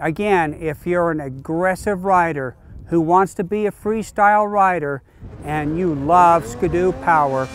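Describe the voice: A man with a fairly high pitch talks at a fairly slow pace in a clear, smooth tone, his pitch varying in an ordinary way.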